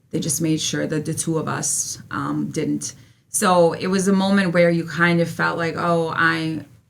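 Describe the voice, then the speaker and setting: A woman with a fairly low pitch and a Serbian accent at a fairly slow pace, with audible room echo. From Serbia / former Yugoslavia, moved to US as child. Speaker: history teacher. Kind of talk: interview testimony.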